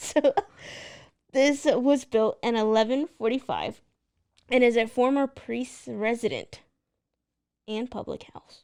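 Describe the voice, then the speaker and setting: A woman's high-pitched voice with a Texan accent, very slow, with long, frequent pauses, big swings in loudness and fairly even intonation. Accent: Texan American. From Texas. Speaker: podcast co-host. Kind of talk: casual chat.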